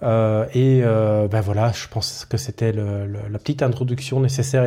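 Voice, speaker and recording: A man speaks with a medium-pitched, somewhat breathy voice, a dark, mellow tone and fairly even intonation. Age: 30s. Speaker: IT technician and podcaster. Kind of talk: solo podcast monologue. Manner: hesitant, many fillers.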